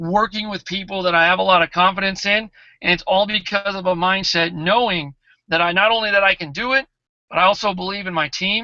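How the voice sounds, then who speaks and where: A man speaks in a raised, projected voice with a high pitch, an animated tone, and a fairly quick pace. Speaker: network marketing team leader. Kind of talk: motivational talk.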